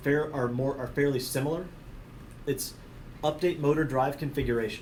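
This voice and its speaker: A fairly high-pitched male voice, somewhat breathy, with ordinary pitch variation and audible room echo. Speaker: technical trainer. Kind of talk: technical training presentation. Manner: fast.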